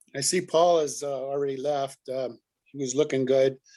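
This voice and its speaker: In a very clean recording with a silent background, the words come at a fairly slow pace. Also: man. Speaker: bible study leader. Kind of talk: casual chat. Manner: loud.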